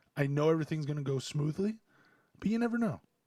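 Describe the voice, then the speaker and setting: A man speaks quietly with lively intonation. The recording is very clean, with a silent background. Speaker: sports podcast host. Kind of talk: solo podcast commentary. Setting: home.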